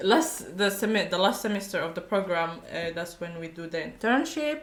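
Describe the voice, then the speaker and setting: A woman speaks with audible room echo. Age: 20s. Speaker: university graduate. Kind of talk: casual chat. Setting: podcast.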